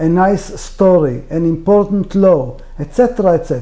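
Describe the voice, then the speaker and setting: The speaker talks at a fairly slow pace with an Israeli accent. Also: man. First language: Hebrew. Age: 60s. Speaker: author. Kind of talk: interview. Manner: halting.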